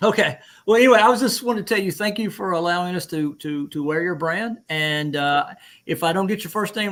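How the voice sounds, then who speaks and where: The speaker has an Alabama accent and ordinary pitch variation. The recording is very clean, with a silent background. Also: man. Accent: Southern US (Alabama). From Alabama, US South. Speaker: veteran, livestream host. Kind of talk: casual chat.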